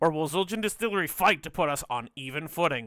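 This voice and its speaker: Over music in the background, a man speaks at a fairly quick pace in a raised, projected voice with very wide pitch swings. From Canada. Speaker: esports caster. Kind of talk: live commentary.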